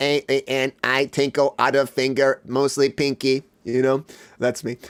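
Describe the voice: At a moderate pace, a man does a put-on character voice at medium pitch with monotone, flat intonation.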